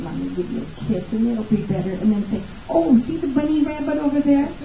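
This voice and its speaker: There is audible room echo and noticeable background noise as a woman talks with very wide pitch swings. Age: 80s+. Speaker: chiropractic patient giving testimonial. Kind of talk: testimony. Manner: halting, many fillers.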